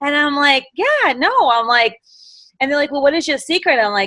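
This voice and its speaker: A woman speaks in a Boston accent with a high pitch. Her intonation is lively. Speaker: direct sales executive director. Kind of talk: motivational talk on a live video call. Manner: animated.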